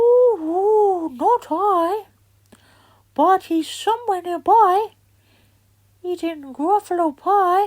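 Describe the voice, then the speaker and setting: A woman uses a squeaky, put-on character voice at an extremely high pitch. Her pace is very slow, with long, frequent pauses. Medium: read story.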